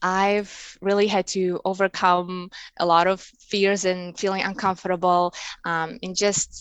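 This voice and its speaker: A woman speaks in a Russian accent at a fairly low pitch. Her pace is very slow. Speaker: embroidery artist and online seller. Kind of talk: interview. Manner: halting, many fillers.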